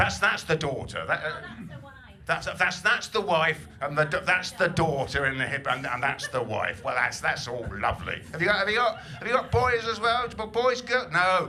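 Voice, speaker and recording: A man speaks at a moderate pace with a high pitch and very wide pitch swings. The room echo is audible, and there is noticeable background noise. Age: 60s. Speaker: comedian. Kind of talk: stand-up. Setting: stage with audience. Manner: stammering repetitions.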